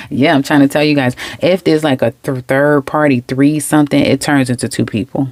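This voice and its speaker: A woman with a New York accent speaks in an animated tone at a fairly quick pace, her pitch very deep and low. Her loudness stays very even, and the sound is dry and close with no echo. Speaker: tarot reader. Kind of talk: tarot reading monologue. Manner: fast.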